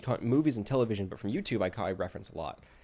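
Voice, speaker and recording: Soft-spoken and at a medium pitch, a man talks at a very fast pace. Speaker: livestreamer. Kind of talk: casual live stream talk while answering a questionnaire. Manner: halting, many false starts.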